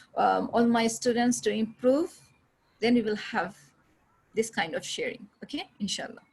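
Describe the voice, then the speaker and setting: A woman speaks at a fairly high pitch with lively intonation and vocal fry. Her speech has long, frequent pauses. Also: moderate pace. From India, Aligarh (Uttar Pradesh). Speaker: English teacher. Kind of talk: online class. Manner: halting.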